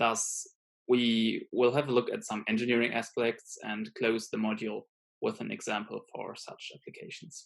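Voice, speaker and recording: His loudness swinging widely, a man talks at a moderate pace. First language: not English. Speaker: student lecturer. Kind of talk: lecture. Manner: hesitant, many fillers.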